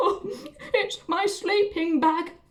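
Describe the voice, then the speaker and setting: Extremely high-pitched put-on character voice from a woman. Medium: read story.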